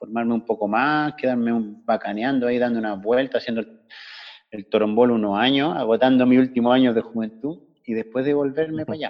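At a fairly quick pace, a man speaks in a Chilean accent at medium pitch. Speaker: former classmate living abroad. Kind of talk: casual chat.

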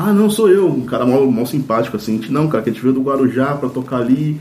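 A man's medium-pitched voice, very fast, with ordinary pitch variation and noticeable background noise. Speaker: rock band singer. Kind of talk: casual chat.

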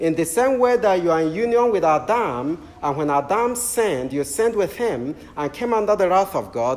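High male speech with very wide pitch swings, at a moderate pace against noticeable background noise. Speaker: Anglican preacher. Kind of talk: sermon. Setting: church. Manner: warm, humorous.

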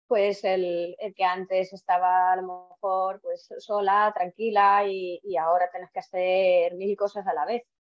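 A woman talks at a fairly slow pace in a monotone, flat intonation, her pitch medium. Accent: Estonian. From Estonia. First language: Estonian (speaking Spanish). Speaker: physiotherapist. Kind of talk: interview. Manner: halting.

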